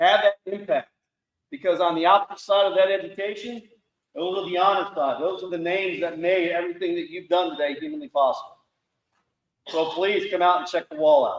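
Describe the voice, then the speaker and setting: A loud, high-pitched male voice at a fairly quick pace with ordinary pitch variation. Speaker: Marine veteran, foundation founder. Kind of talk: speech to audience.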